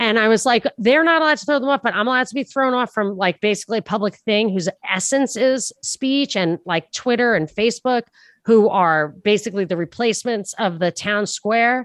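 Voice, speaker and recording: A woman talks at a fairly quick pace with lively intonation and a fairly high pitch. The sound is dry and close with no echo, and the background is quiet. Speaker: podcast host and former radio host. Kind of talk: interview. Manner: fast talker.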